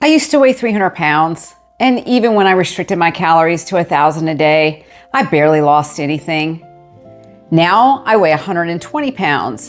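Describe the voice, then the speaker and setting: Over music in the background, a woman talks with lively intonation. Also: fairly low pitch for a woman, moderate pace. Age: 50s. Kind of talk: personal story to camera. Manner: candid, conversational.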